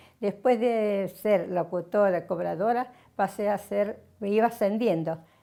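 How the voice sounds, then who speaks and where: A woman with a dark, mellow tone at medium pitch, speaking at a fairly slow pace on a very clean recording with a silent background. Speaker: retired radio announcer and station director. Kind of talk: interview answer, recounting her career.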